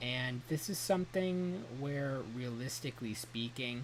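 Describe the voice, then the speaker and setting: Audible room echo surrounds a man speaking in a somewhat breathy voice with ordinary pitch variation. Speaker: trading coach. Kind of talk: tutorial.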